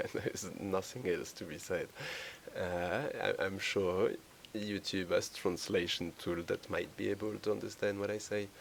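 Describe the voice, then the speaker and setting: Speaking in a French accent, a man keeps a moderate pace. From France. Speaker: indie game developer. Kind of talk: devlog walkthrough. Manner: halting, many fillers. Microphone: poor cheap microphone.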